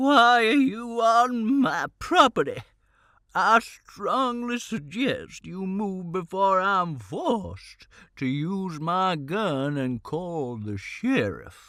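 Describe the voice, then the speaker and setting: In a put-on character voice at a middle pitch, the speaker talks at a very slow pace. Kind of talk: stern, formal warning. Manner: bellowing, threatening.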